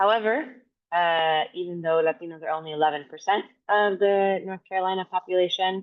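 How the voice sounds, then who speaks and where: A woman with an American accent speaks at a fairly quick pace. Her pitch is medium, with ordinary variation. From Miami, Florida; Dominican American. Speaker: physician and health equity researcher. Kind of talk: presentation. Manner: fast.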